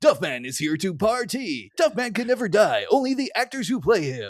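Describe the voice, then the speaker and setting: A man does a put-on character voice at a high pitch and moderate pace in a very clean recording with a silent background. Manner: boisterous, macho.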